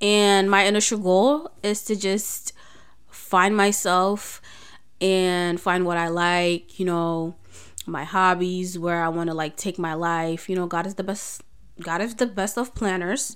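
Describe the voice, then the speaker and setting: A woman speaks at a fairly slow pace in a plain, everyday voice, medium in pitch with fairly even intonation. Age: 20s. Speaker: podcast host. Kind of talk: casual solo chat. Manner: nervous, chatty, laughs often.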